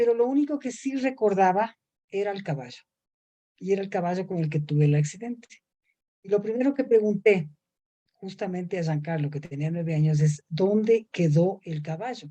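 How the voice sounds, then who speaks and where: A woman's medium-pitched, somewhat breathy voice, dark and mellow in tone, with lively intonation at a moderate pace. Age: 60s. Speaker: horse therapy practitioner. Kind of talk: testimony.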